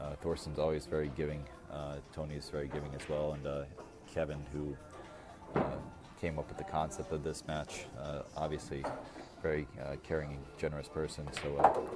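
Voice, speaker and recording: Against music in the background and audible room echo, a man speaks at a moderate pace with a very deep, low pitch and monotone, flat intonation. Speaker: pool match commentator. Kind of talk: live commentary. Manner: halting, many fillers.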